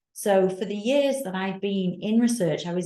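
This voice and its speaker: A woman speaks with a Manchester accent. Her tone is dark and mellow. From northern England, Manchester. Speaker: nursing professor and researcher. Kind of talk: panel discussion.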